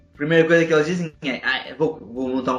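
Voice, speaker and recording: The speaker is a man. His pitch is high. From Portugal. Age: 20s. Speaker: podcast host and entrepreneur. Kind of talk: casual interview. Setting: video call.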